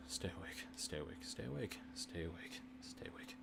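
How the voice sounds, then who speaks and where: Over loud background noise, a man puts on a guttural character voice with an extremely high pitch, speaking at a moderate pace. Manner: muttering, heavily breathing.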